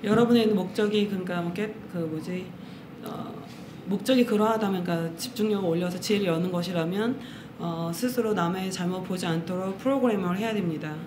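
A woman talks fairly quickly with ordinary pitch variation. Noticeable background noise can be heard. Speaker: interpreter. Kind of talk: consecutive interpreting. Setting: meditation center with audience. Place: hall. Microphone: studio mic.

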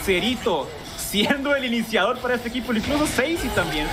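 There is noticeable background noise as a man speaks at a moderate pace. His pitch variation is ordinary. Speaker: esports analyst co-caster. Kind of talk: esports analysis as color commentary. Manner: calmer, explanatory, measured compared with the play-by-play caster.

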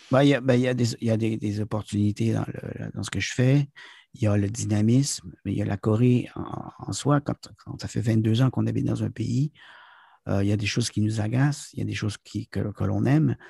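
With a dark, mellow tone and a somewhat breathy quality, a man speaks at a fairly low pitch with ordinary pitch variation in a dry, close sound with no echo. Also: moderate pace. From Quebec, town near US border. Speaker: business consultant and corporate trainer. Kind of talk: interview. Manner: halting, many hesitations.

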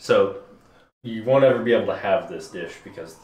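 Audible room echo surrounds a man speaking at a moderate pace. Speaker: beer reviewer. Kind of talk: casual group chat review. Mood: relaxed, joking. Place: home room. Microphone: camera far.

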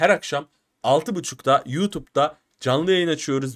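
The background stays quiet. A man talks. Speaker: reaction video host. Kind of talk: casual vlog chat. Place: home room. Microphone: studio mic.

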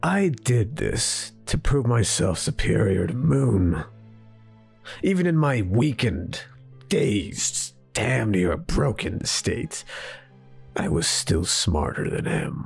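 A man's cartoonish character voice at a medium pitch, very slow, with very wide pitch swings and faint music in the background. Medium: puppet show. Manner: curt, sarcastic, dismissive.

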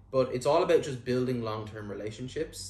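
Recorded with audible room echo, a man speaks in a somewhat breathy voice. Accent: Irish. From Ireland. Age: 20s. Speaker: real estate agent. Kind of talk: vlog monologue. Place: home room. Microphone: lapel.

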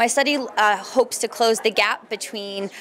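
Over light background noise, the voice shows ordinary pitch variation. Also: woman. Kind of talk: interview answer. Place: hall. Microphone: handheld.

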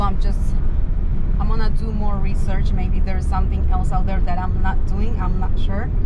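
A woman talks at a moderate pace. Loud background noise surrounds her. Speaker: vlogger. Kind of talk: casual vlog chat. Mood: frustrated, venting. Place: car. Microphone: phone near.

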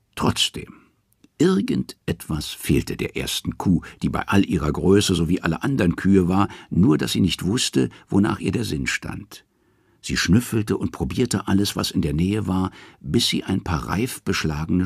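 A man speaks with a very deep, low pitch, vocal fry and lively intonation. His moderate pace comes through with a dry, close sound and no echo. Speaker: audiobook narrator. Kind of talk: dramatic narration of Norse myths, read aloud as an audiobook. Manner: measured storytelling pace, hushed and ominous, with a mythic tone and emphatic pauses.

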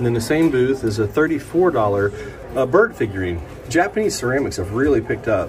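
Light background noise sits behind a man with an American accent, somewhat breathy at medium pitch, whose pitch swings very widely at a moderate pace. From Ohio. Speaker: antiques auction vlogger. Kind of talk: casual vlog narration. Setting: on location, indoors and around a crowded antique mall. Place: shop. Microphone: phone near.

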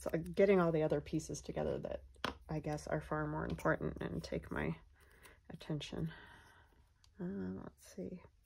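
A woman mumbles at a moderate pace, leaving long, frequent pauses. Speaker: craft video creator. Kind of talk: casual crafting tutorial. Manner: soft-spoken; mumbles while working.

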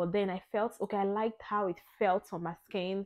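A woman talks at a medium pitch in a monotone, flat delivery against a quiet background. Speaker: lifestyle vlogger. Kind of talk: product review. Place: home room. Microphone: lapel.

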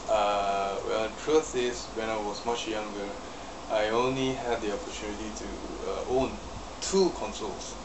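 Against noticeable background noise, a man talks at a moderate pace with a medium pitch and ordinary pitch variation. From Malaysia. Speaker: YouTuber and retro game collector. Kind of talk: casual vlog monologue. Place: home room. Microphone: webcam.

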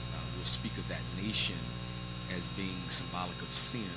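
A man speaks at a moderate pace as loud background noise fills the recording. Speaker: minister teaching Bible study. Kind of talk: sermon. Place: church. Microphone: handheld.

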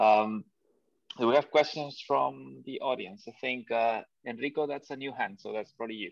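A man's ordinary speaking voice at medium pitch and moderate pace, with lively intonation, big swings in loudness, a quiet background and a dry sound with no echo. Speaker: seminar moderator. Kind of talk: formal introduction. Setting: video call. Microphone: video call.

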